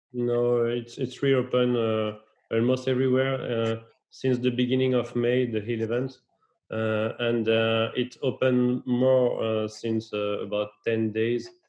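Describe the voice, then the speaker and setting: A man with a French accent, medium pitch, monotone, flat intonation and a fairly slow pace. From France. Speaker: geography researcher. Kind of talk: interview.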